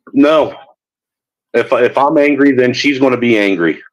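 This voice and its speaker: Fairly slow speech from a man with fairly high pitch and very even loudness. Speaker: livestream host. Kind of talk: casual chat. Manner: projects voice. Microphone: talking through a phone.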